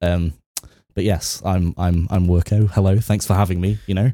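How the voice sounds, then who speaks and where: Speaking at a moderate pace, a man uses a very deep, low pitch, a dark, mellow tone and fairly even intonation. The very clean recording has a silent background and a dry, close sound with no echo. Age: 20s. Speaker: football fan guest. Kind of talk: casual chat.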